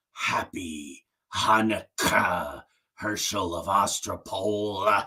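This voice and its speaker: A man puts on a raspy character voice with a fairly low pitch. He speaks at a very slow pace. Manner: eerie, menacing.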